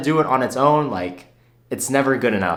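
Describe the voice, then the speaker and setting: A man talks at a fairly quick pace with vocal fry and ordinary pitch variation. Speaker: personal finance youtuber. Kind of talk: unscripted video Q&A. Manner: fast, rapid-fire.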